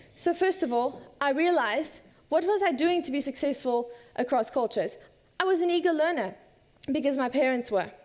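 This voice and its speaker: At a fairly quick pace, a woman with an American accent speaks with lively intonation and a high pitch. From South Africa and USA (third culture kid). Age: 20s. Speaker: student speaker. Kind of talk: conference talk.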